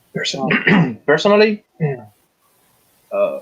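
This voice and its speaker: A man speaks at a very slow pace. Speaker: firearms instructor. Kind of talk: panel discussion. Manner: halting.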